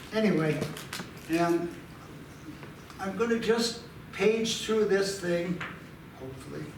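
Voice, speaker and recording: Very slow and broken by long, frequent pauses, the speech has ordinary pitch variation, with audible room echo and noticeable background noise. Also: man, high pitch for a man. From Butte, Montana, US. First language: Italian. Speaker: archives volunteer, amateur family historian. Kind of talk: presentation. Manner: halting.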